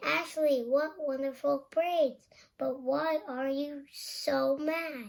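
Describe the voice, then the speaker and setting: A woman uses a put-on character voice, pitched high. She speaks at a very slow pace. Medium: read story.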